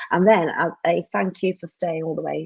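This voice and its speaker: In a plain, everyday voice, a woman speaks at a fairly low pitch with fairly even intonation, the sound dry and close with no echo. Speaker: marketing trainer. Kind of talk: live webinar training. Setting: live online session. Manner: chatty, with fillers.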